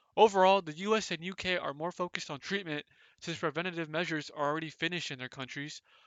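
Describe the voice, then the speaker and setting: Talking at a very fast pace, a man with an American accent uses a high pitch and fairly even intonation. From United States. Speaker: student. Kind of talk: class presentation.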